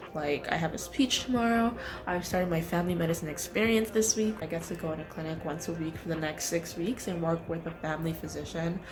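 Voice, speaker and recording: Amid audible room echo and noticeable background noise, a woman with a fairly low pitch and ordinary pitch variation speaks at a very fast pace with hardly any pauses. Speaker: medical student. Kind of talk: vlog.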